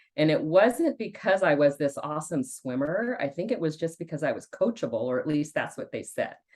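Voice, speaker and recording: A woman speaks with an American accent at a fairly low pitch. Her pitch swings very widely. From California Central Coast (Santa Cruz). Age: 60s. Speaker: fitness program member. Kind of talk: interview.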